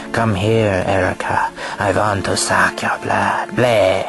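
A man speaks at a fairly slow pace in a put-on character voice at a medium pitch, with clear music in the background. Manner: taunting, cheesy, mocking.

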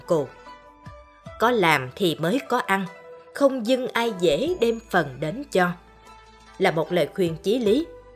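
A woman speaks at a fairly slow pace with very wide pitch swings, music playing behind her. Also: long, frequent pauses. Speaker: radio MC, narrator. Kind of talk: life-philosophy radio narration.

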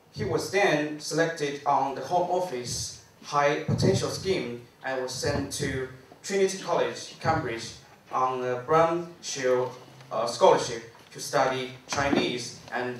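A man talks at a very slow pace with a fairly high pitch. Room echo is audible, and there is noticeable background noise. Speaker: forum organizer and PhD student. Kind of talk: formal introduction. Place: hall.

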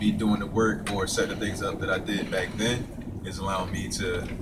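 Loud background noise surrounds a man as he talks. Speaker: online marketer vlogger. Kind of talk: casual vlog chat. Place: waterside. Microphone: camera far.

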